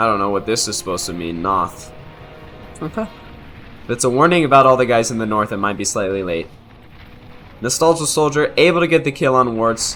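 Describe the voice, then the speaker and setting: With music in the background, the speaker talks at a fairly quick pace broken by long, frequent pauses. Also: man, medium pitch for a man, lively intonation. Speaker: game commentator. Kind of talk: live game commentary. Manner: slurring words; halting, many fillers.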